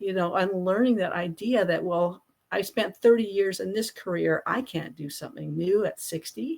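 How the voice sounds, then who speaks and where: A woman talks at a moderate pace with hardly any pauses, her medium pitch showing ordinary variation, in a plain, everyday voice. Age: 60s. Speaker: business founder and author. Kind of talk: interview conversation.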